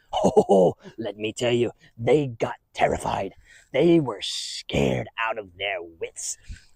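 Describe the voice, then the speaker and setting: A man in a put-on character voice at medium pitch, fairly slow in pace, with a dry, close sound and no echo. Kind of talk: children's church skit. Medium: solo performance. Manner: rambling, chuckling, folksy.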